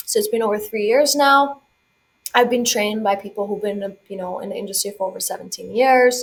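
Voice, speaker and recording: A woman's fairly high-pitched, plain, everyday voice at a fairly quick pace, with ordinary pitch variation. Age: 20s. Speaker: financial coach. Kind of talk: podcast interview.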